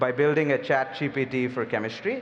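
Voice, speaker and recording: Over noticeable background noise, a man with a Telugu accent talks at a moderate pace in a fairly high pitch. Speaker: biotech company CEO. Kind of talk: panel discussion.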